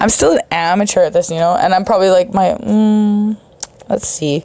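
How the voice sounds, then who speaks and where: A woman's medium-pitched voice moves at a moderate pace, with ordinary pitch variation. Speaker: podcast host. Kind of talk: casual monologue.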